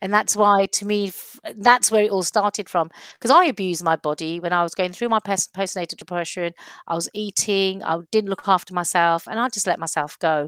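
A woman's unremarkable speaking voice, medium in pitch, with ordinary pitch variation and a fairly quick pace, in a very clean, dry, close recording with no echo and a silent background. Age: 50s. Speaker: body confidence coach. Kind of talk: casual chat.

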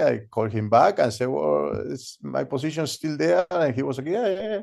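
A man with a Spanish accent at a fairly quick pace. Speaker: professional skydiving videographer. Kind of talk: interview. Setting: remote call.

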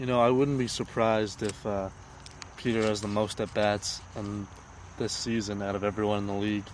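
A man's fairly low voice, relaxed in tone, with monotone, flat intonation at a moderate pace. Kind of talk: casual color commentary alongside play-by-play. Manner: relaxed, conversational analyst.

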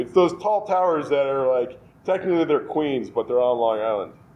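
A normal speaking voice from a man with an American accent, fairly high in pitch, fairly quick, and with lively intonation. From New York (Westchester). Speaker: brewery owner. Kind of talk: casual interview.

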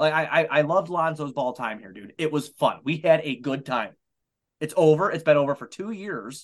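With an American accent and an unremarkable speaking voice, a man talks at a moderate pace in a fairly high pitch with ordinary pitch variation and big swings in loudness. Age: 30s. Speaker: sports podcaster. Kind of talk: casual chat.

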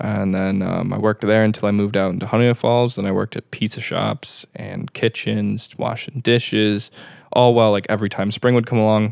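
A man with an American accent talks in a normal speaking voice at a fairly quick pace with fairly even intonation, the sound dry and close with no echo. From western New York (Brockport). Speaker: bartender. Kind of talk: casual interview chat.

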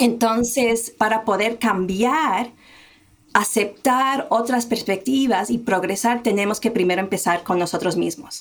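A woman with an ordinary speaking voice talks at a fairly slow pace in a fairly high pitch. Her loudness stays very even, with ordinary pitch variation. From United States, small town, Colombian family. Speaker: diversity and inclusion consultant. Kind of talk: interview.

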